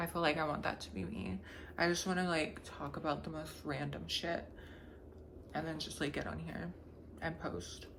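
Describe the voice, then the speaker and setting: Recorded with audible room echo, a woman talks at a moderate pace with long, frequent pauses. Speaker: vlogger. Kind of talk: casual vlog monologue. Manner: casual, rambling with many fillers.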